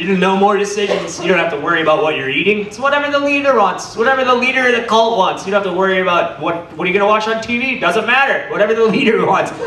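A man's raised, projected voice at a high pitch and very fast pace, with audible room echo and light background noise. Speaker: stand-up comedian. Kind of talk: stand-up comedy. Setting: stage with audience. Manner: animated, irreverent. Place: stage.

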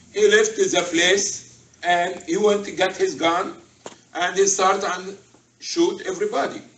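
There is audible room echo around this man's voice. He speaks at a fairly slow pace in a high pitch. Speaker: religious teacher. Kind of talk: sermon-style talk to a group. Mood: earnest, instructive. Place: hall. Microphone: camera far.

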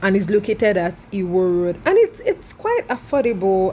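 A woman talks with light noise in the background. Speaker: travel vlogger. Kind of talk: casual vlog chat. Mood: cheerful, laughing. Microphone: phone near.

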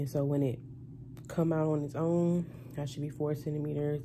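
A woman speaks in a very deep, low voice with a dark, mellow tone and fairly even intonation over noticeable background noise. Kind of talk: casual vlog chat. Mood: relaxed, slightly nervous. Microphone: phone near.

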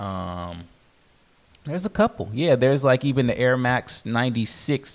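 Using a plain, everyday voice, a man speaks at a fairly slow pace in a medium pitch with lively intonation. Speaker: sneaker podcast co-host and reseller. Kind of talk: casual chat. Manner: laughs often.

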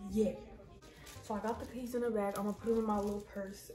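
A woman's voice with audible room echo and faint background music. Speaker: vlogger. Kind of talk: casual vlog chat.

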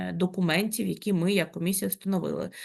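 A woman's lively intonation and vocal fry over a quiet background. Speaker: commission chair. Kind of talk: official meeting. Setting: video call. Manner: formal.

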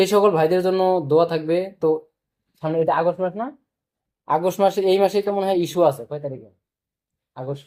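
Here a man's voice sits high in pitch and has a dark, mellow tone. His pitch variation is ordinary. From Bangladesh. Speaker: vlogger, migrant factory worker. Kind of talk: casual vlog to camera. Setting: at a friend's home, cooking.

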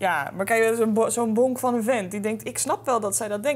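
The pace is moderate. This woman talks with vocal fry. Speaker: podcast co-host. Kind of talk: casual commentary chat. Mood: playful, joking. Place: studio. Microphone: studio mic.

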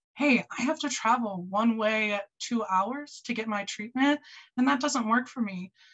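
A woman speaks at a moderate pace with a fairly high pitch and a Midwestern American accent. The background is quiet. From rural Michigan. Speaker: research coordinator. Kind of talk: panel discussion. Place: home room. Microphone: video call.

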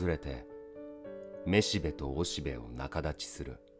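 A man's very deep, low voice, calm and soothing, at a fairly slow pace over background music. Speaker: actor. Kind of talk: poetry reading. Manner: calm, soothing.

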